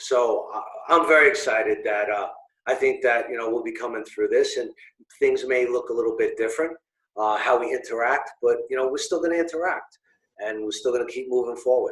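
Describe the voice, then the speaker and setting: A man with a Brooklyn accent talks at a fairly quick pace, broken by long, frequent pauses. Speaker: business owner and networking organizer. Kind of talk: interview. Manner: halting, many fillers.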